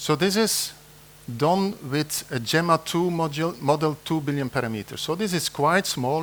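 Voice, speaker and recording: Speaking with a non-native accent, a man keeps a moderate pace and ordinary pitch variation. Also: very clean recording, silent background. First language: not English. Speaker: conference presenter, AI engineer. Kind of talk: conference talk. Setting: conference room with audience. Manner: hesitant, many fillers.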